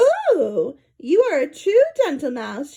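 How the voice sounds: A female-sounding, squeaky put-on character voice sits at a high pitch with very wide pitch swings. It goes at a fairly slow pace.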